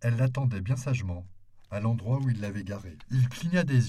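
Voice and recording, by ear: Ordinary pitch variation from someone reading aloud in a natural voice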